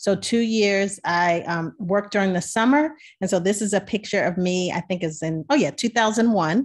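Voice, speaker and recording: A woman's voice with an American accent, medium pitch and ordinary pitch variation, at a moderate pace with hardly any pauses, over a quiet background. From Maryland, US. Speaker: physician scientist; presenter. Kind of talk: webinar presentation. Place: home room. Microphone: webcam.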